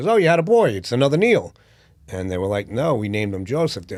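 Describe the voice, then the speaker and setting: A man talks at a very fast pace in a New York accent. His pitch is fairly low. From New York (Brooklyn, Yonkers). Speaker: boxing promoter, playwright, former corrections officer. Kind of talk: interview answer.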